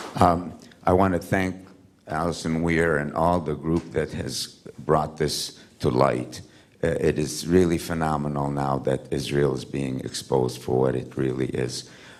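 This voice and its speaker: A man speaks at a very deep, low pitch and a fairly slow pace, with ordinary pitch variation. Audible room echo and noticeable background noise fill the recording. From Palestine, Haifa. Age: 70s. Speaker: audience member. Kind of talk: audience comment. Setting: conference hall with audience.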